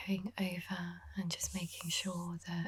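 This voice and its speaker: A soft-spoken woman talks at a very slow pace in a calm tone. Noticeable background noise runs underneath. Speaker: makeup artist. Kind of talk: makeup tutorial voice-over. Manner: soft-spoken, calm.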